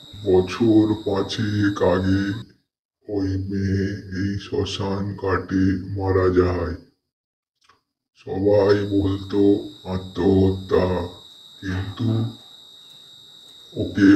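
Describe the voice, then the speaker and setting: A man uses a cartoonish character voice, very deep and low, in a calm tone with monotone, flat intonation. He speaks at a very slow pace, with a slight echo. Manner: calm, ominous.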